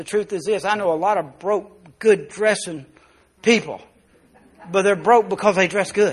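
A man with a Southern US accent speaks at a moderate pace with high pitch and fairly even intonation. He leaves long, frequent pauses. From US South, South Arkansas. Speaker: pastor. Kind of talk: sermon. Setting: church.

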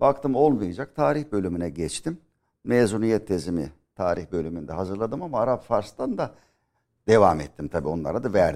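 A man speaks at a moderate pace with a fairly low pitch and very wide pitch swings. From Aegean Turkey (Milas, Muğla). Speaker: history professor. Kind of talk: interview. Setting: studio.

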